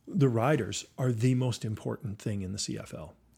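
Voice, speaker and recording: Somewhat breathy, the voice carries a Canadian accent. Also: man. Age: 50s. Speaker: company CEO. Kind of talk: interview.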